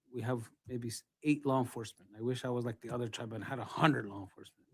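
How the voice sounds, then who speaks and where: A man with a New Mexico accent talks at a very fast pace with fairly even intonation, and the sound is dry and close with no echo. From northern New Mexico, Santa Clara Pueblo. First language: Tewa. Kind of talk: testimony. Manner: halting.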